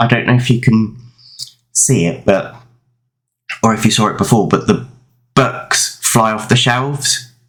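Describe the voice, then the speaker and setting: Over music in the background, a man with a medium pitch speaks at a fairly slow pace with fairly even intonation. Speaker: gaming YouTuber. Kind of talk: gameplay voice-over commentary. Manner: loud; halting, many fillers.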